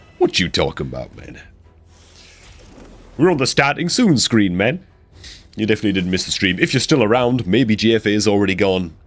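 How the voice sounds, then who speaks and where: Over music in the background, a man talks at a fairly quick pace. His pitch is fairly low and his intonation lively. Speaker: gaming streamer. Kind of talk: live stream chat. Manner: casual, animated.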